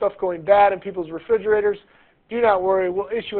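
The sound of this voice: You hear an unforced reading voice in this clip.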